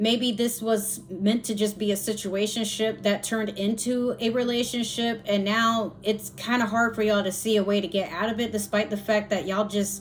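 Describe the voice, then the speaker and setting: Over noticeable background noise, a woman speaks at a moderate pace with a fairly high pitch, monotone, flat intonation, very even loudness and hardly any pauses. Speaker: tarot reader. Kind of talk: tarot reading. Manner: pausing, slightly halting; casual, relaxed.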